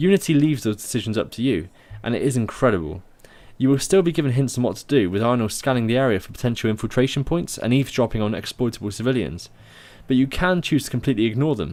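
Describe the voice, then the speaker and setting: At a very fast pace, a man with a southwest English accent talks with lively intonation. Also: medium pitch for a man. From southwest England. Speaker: video game reviewer. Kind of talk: scripted review narration.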